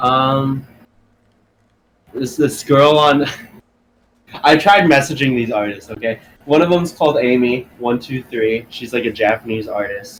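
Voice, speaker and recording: A man at a medium pitch with an American accent, ordinary pitch variation and long, frequent pauses. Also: fairly slow pace. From California. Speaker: music artist. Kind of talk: casual chat. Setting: podcast interview.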